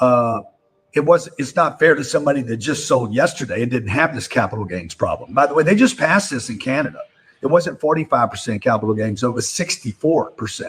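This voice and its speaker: The delivery is fairly quick and somewhat breathy, with lively intonation. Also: man, fairly high pitch for a man. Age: 60s. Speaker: real estate investor and political commentator. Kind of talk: live-stream political commentary. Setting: live stream.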